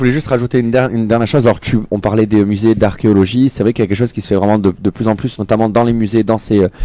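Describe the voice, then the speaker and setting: Fairly even in intonation, a man speaks at a medium pitch. His pace is very fast, with hardly any pauses. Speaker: technology expert columnist. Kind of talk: radio panel discussion.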